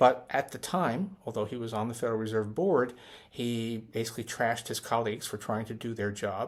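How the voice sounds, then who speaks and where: A man with an ordinary speaking voice talks at a fairly quick pace, medium in pitch with ordinary pitch variation. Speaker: economist. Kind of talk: casual talk to camera.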